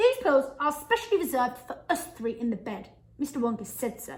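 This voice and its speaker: A woman puts on a shrill, high-pitched character voice with very wide pitch swings. She moves at a fairly quick pace. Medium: read story.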